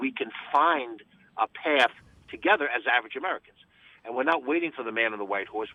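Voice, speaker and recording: The delivery is very fast, with lively intonation. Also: man. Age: 60s. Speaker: county executive politician. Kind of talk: radio interview. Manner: emphatic.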